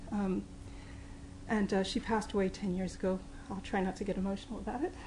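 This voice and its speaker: Speech comes at a very fast pace in a slight Mid-Atlantic accent, yet with long, frequent pauses. The intonation is monotone and flat, with audible room echo. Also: woman, medium pitch for a woman. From New York, English parents. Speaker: professor. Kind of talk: lecture.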